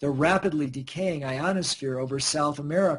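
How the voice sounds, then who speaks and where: The delivery is somewhat breathy, keeps to a moderate pace, and shows ordinary pitch variation. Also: man. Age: 60s. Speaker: scientist and researcher. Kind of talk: radio interview.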